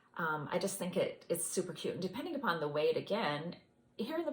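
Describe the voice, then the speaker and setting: A somewhat breathy woman's voice with lively intonation. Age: 50s. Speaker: knitting vlogger. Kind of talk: casual video review. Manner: chatty, halting with fillers.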